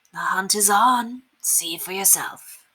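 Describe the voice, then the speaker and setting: Putting on a raspy character voice, a woman speaks fairly slowly at a fairly high pitch. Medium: read story. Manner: cryptic, broken English.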